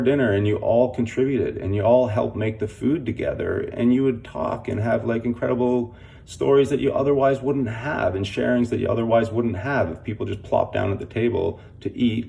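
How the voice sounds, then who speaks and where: Speaking at a fairly quick pace, a man leaves hardly any pauses. His medium-pitched voice keeps a fairly even intonation over noticeable background noise. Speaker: community organizer, fundraiser. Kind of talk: casual talk to camera. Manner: casual with many fillers; stutters.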